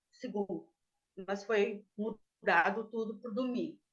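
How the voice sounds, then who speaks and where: Here a woman is speaking. Her pace is fairly slow. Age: 60s. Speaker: defendant. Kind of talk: testimony. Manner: halting.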